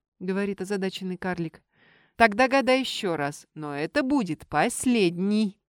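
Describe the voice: The background stays quiet. The plain reading aloud carries lively intonation.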